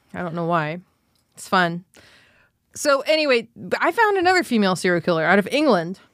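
A woman speaks fairly quickly in an animated tone, with very wide pitch swings and big swings in loudness. Long, frequent pauses break up her speech. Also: medium pitch for a woman. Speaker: stand-up comedian. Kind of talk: casual comedic chat. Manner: animated, profane.

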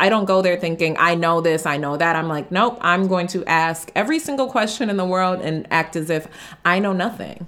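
Speaking at a fairly quick pace, a woman with an American accent has a fairly low pitch, ordinary pitch variation and a normal speaking voice. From US Midwest, Detroit. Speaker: travel entrepreneur. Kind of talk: interview.

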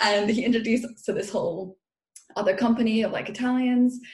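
A woman at a moderate pace with a British accent. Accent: British-sounding. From international upbringing, Irish parents, UK-influenced. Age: 20s. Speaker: food and body coach. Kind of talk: casual interview chat. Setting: remote recording, sitting on her floor. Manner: animated, laughs often.

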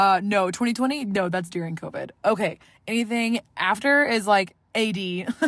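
A woman with an American accent talks in a plain, everyday voice at medium pitch and a fairly slow pace, with ordinary pitch variation. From Southeast Texas (Orange, near Louisiana border). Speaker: podcaster. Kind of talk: casual solo monologue. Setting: home recording, solo. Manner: talkative, casual with many filler ums.

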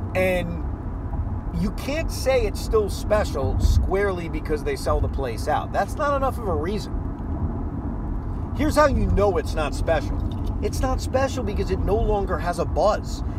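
A man with an American accent talks at a fairly slow pace, with audible room echo and noticeable background noise. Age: 30s. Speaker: sports radio host. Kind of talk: casual monologue. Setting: in a car.

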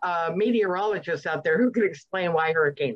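A woman talks at a moderate pace with a Southern US accent. Her intonation is lively. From US South, Alabama. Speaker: podcast guest. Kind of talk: casual chat.

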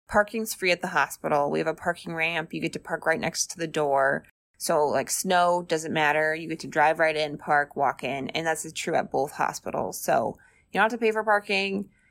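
A woman's unremarkable speaking voice, fairly low in pitch, with an American accent, ordinary pitch variation and a moderate pace, on a very clean recording with a silent background. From Arizona, US. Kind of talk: casual interview.

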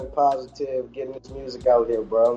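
Music plays behind a man with an American accent. He speaks at a medium pitch and moderate pace with fairly even intonation. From New Orleans, Louisiana. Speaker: music producer. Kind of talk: casual chat.

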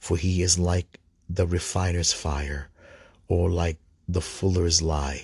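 A man talks at a very slow pace with a very deep, low pitch and monotone, flat intonation. His tone is solemn and somewhat breathy. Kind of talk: liturgical scripture reading aloud from missal and Bible, with prayers. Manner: halting, stumbling over words, with fillers; measured, solemn, formal reading cadence.

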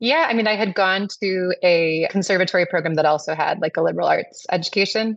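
In an American accent, a woman talks with an ordinary speaking voice and ordinary pitch variation. Her loudness stays very even, and she hardly pauses. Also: medium pitch for a woman, fairly quick pace. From Madison, Wisconsin, US Midwest. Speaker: restaurant owner. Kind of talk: interview.

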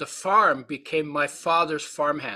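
A man's high, bright, sharp voice at a moderate pace. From Poland (born), Latvian-Estonian parents. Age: 80s+. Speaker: nutrition author and speaker. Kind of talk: interview storytelling. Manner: expansive, long-winded.

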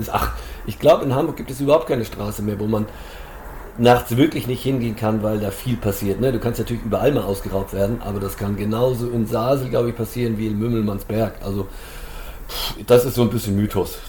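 At a very fast pace, the speaker keeps fairly even intonation over noticeable background noise. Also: man, medium pitch for a man. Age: 50s. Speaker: trail runner and race organizer. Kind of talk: casual chat.

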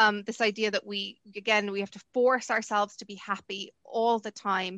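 Against a quiet background, a woman with a Munster accent speaks in a bright, sharp tone at a fairly high pitch. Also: dry, close sound with no echo. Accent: southern Irish (Munster). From Ireland. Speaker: university lecturer and researcher. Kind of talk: interview. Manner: hesitant, many fillers.

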